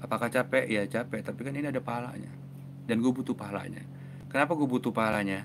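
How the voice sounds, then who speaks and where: A man talks at a very fast pace with a medium pitch and fairly even intonation. Noticeable background noise runs behind him. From Indonesia. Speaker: mental health author and YouTuber; YouTuber. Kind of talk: live stream talk answering viewer comments. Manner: casual, fast. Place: home room. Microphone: lapel.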